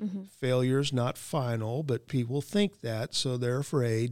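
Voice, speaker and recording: On a very clean recording with a silent background, a man with a plain, everyday voice speaks at a fairly slow pace. His pitch is medium, with ordinary pitch variation. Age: 60s. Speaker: training and leadership director. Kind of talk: interview answers, motivational talk.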